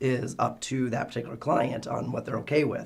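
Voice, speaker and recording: Loud and at a very fast pace, a man with a medium pitch keeps a fairly even intonation. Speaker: market research director. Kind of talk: webcast Q&A. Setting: live webcast. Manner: straining to speak loudly.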